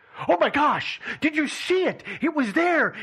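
A put-on character voice is pitched high and moves at a moderate pace. Light background noise can be heard. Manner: overly dramatic, mocking.

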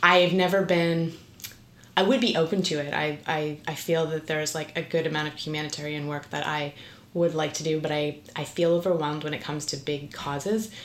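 In a Canadian accent, a woman talks at a fairly quick pace with a very deep, low pitch. Noticeable background noise runs underneath. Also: fairly even intonation. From Ontario, Canada (St. Catharines). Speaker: actress. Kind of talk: casual interview chat.

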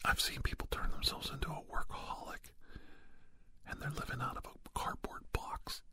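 A whispering man at a moderate pace, with noticeable background noise. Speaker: ASMR conversationalist. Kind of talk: ASMR roleplay. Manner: soft-spoken.

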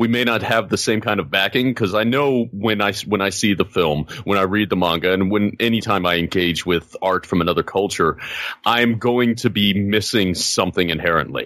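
A man with a plain, everyday voice speaks at a moderate pace in a fairly low pitch. His pitch varies in an ordinary way, his loudness stays very even, and he hardly pauses. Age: 30s. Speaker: podcast co-host. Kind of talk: casual chat.

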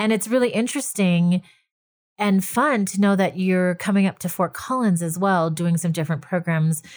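A woman speaks at a moderate pace in a plain, everyday voice, her pitch medium and her loudness very even. The recording is very clean, with a silent background. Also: ordinary pitch variation. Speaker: podcast host. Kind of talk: interview.

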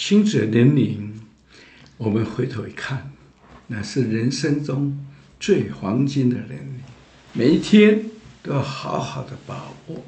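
A man's dark, mellow, medium-pitched voice with vocal fry, lively intonation and big swings in loudness, very slow with long, frequent pauses, in audible room echo. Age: 70s. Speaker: church minister. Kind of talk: testimony. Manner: animated.

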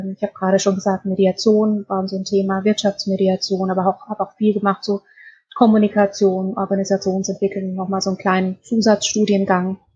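A somewhat breathy woman with monotone, flat intonation. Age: 40s. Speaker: organisational development consultant. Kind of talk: interview.

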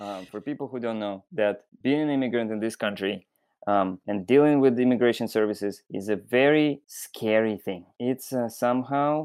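A man speaks with a Russian accent at medium pitch. The background is quiet. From Belarus, Minsk. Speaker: fisherman. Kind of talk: interview. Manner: halting.

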